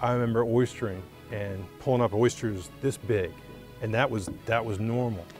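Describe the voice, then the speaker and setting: Over clear background music, a man with a medium pitch speaks at a moderate pace with fairly even intonation. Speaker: chef. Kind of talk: interview answer. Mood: warm, nostalgic. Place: waterside.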